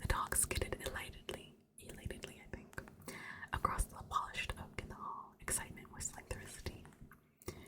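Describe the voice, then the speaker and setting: A woman whispers at a moderate pace, with big swings in loudness. Noticeable background noise runs behind her. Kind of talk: audiobook-style reading of a novel, ASMR. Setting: home recording with a desktop USB microphone. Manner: soft-spoken, whispering, ASMR.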